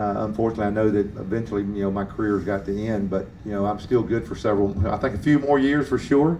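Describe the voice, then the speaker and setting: A man talks at a very fast pace with hardly any pauses, in a fairly low pitch with ordinary pitch variation. His tone is dark and mellow, and room echo is audible. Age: 60s. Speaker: drag racing motorcycle rider. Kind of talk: press conference interview. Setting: media center at race track. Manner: halting, many fillers.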